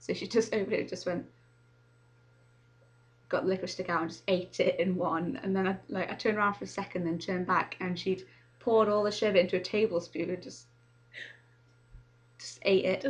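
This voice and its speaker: The voice moves at a very fast pace with ordinary pitch variation, broken by long, frequent pauses. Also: woman. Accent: English. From Manchester, England. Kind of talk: casual talk to camera.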